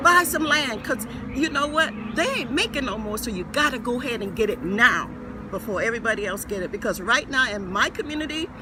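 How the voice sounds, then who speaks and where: Music plays in the background as a man speaks in a raised, projected voice at an extremely high pitch. His intonation is lively and his pace moderate. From Gullah Geechee community, US Southeast. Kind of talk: interview answer.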